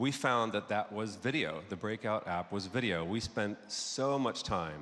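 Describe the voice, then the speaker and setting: In a very clean recording with a silent background, a man with an American accent talks at a fairly slow pace. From United States. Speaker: advertising creative executive. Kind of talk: conference talk. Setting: stage with audience.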